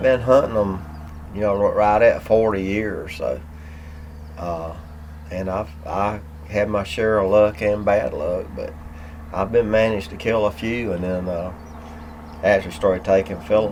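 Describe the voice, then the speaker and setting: A man speaks with a North Carolina accent, leaving long, frequent pauses. Noticeable background noise runs behind him. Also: fairly low pitch for a man, ordinary pitch variation, moderate pace. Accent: Southern US (North Carolina). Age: 60s. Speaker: turkey hunter. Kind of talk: casual chat. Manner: halting.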